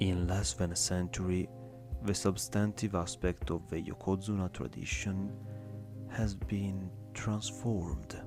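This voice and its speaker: A man with a non-native accent, very deep and low in pitch, at a fairly slow pace over music in the background. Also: ordinary pitch variation. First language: not English. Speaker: ASMR reader. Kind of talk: ASMR reading of an academic text. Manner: soft-spoken.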